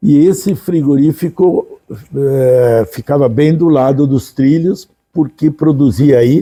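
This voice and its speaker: Very slow and very even in loudness, a man's dark, mellow voice sits at fairly high pitch with ordinary pitch variation. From southern Brazil, Gramado (Rio Grande do Sul). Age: 80s+. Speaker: retired businessman and former vice-mayor. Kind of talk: interview. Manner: halting, with false starts.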